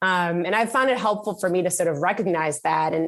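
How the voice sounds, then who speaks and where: An animated tone at a fairly quick pace with ordinary pitch variation, in a very clean recording with a silent background. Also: woman. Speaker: tech company CEO. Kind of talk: interview.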